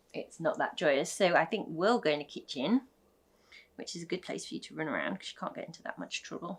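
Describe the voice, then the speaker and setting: A woman talks at a very fast pace in a British accent. Her loudness swings widely. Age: 30s. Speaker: vlogger, small business owner. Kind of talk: casual chat.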